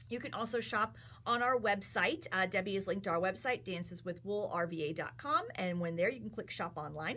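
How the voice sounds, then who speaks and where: With vocal fry and a bright, sharp tone, a woman of medium pitch makes very wide pitch swings and leaves hardly any pauses. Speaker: yarn shop owner and livestream host. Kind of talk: live stream product talk. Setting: livestream from yarn shop. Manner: fast.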